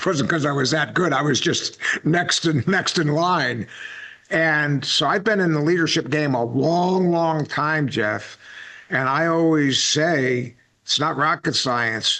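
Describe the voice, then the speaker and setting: An unremarkable speaking voice moves at a fairly slow pace with very even loudness. Its pitch variation is ordinary. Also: man, fairly high pitch for a man. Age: 60s. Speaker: podcast host, Marine veteran. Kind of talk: interview.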